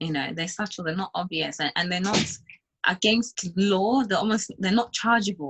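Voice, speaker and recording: At a moderate pace, a woman with an African accent speaks at a medium pitch with ordinary pitch variation. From Zimbabwe. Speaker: entrepreneur, beauty company founder. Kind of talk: interview.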